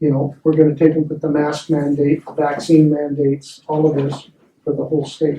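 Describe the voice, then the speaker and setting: With an American accent, a man speaks at a moderate pace in a somewhat breathy, fairly high voice with monotone, flat intonation. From Oregon. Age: 70s. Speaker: citizen advocate presenting at public meeting. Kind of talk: public meeting presentation. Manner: halting, with repeated words.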